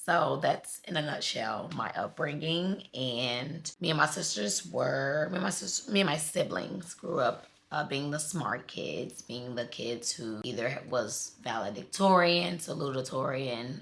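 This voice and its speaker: Against noticeable background noise, a woman with an American accent and a very deep, low pitch speaks at a fairly slow pace with lively intonation and hardly any pauses. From US Midwest, Chicago South Side. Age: 30s. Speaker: lifestyle vlogger. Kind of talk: personal storytelling monologue. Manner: casual, conversational.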